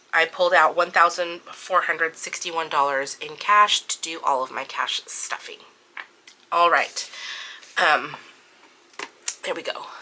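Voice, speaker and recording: Moderate pace with noticeable background noise. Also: woman. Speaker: budgeting vlogger. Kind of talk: budget walkthrough tutorial. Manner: casual, many filler words.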